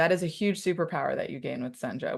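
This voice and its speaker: The background is quiet. A woman speaks with a fairly low pitch. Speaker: webinar host. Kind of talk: live product tutorial. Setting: live online session. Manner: fast.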